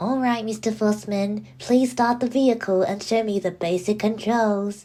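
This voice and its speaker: A woman puts on a nasal character voice at a fairly high pitch and a moderate pace. The recording is very clean, with a silent background. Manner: dry, dull.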